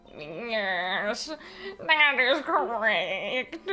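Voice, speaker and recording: A female-sounding put-on character voice, fairly high in pitch, over clear background noise. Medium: game stream. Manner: formal, measured.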